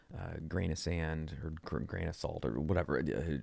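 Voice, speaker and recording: Quiet and unhurried, a man speaks at a moderate pace in a very deep, low voice with a dark, mellow tone. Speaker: podcast host. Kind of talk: casual monologue. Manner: talking quietly; halting, repeats words.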